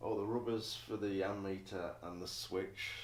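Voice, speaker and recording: With an English accent, a man mumbles in a very deep, low voice. His intonation is monotone and flat, with audible room echo. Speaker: motorcycle builder. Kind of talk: workshop vlog. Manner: mumbling.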